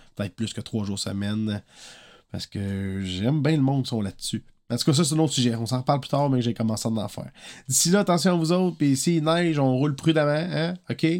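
Speaking in a Quebec accent, a man talks at a fairly quick pace with lively intonation and a medium pitch. The recording is very clean, with a silent background. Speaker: singer-songwriter podcaster. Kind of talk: casual monologue podcast. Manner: casual, hesitant with fillers.

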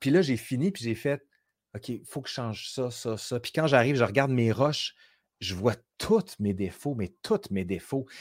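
This man has a medium pitch and an animated tone, with lively intonation. He talks at a moderate pace on a very clean recording with a silent background. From Quebec City. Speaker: historian and YouTuber. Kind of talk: casual interview chat.

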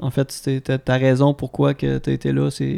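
Recorded dry and close with no echo but noticeable background noise, a man speaks with a Quebec accent. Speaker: podcast host. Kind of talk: casual chat.

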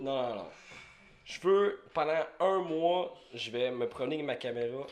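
Speaking at a fairly slow pace, a man has a fairly high pitch. His pitch swings very widely. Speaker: podcast host. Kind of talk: casual chat. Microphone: sound cutting out.

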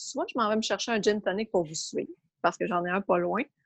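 A woman talks at a fairly quick pace in a normal speaking voice with a fairly high pitch. The sound is dry and close, with no echo. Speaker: sports administrator. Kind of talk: casual interview.

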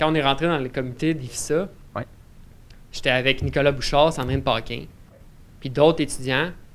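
Using fairly even intonation and vocal fry, a man with a fairly high pitch talks at a moderate pace, leaving long, frequent pauses. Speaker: forestry student. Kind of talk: casual chat.

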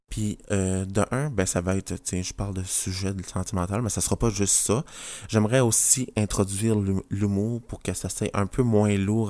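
A man's voice with a dark, mellow tone and fairly even intonation. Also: very clean recording, silent background. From New Brunswick, Canada. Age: 20s. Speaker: nurse and podcast host. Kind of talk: casual podcast introduction monologue. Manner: hesitant, many fillers.

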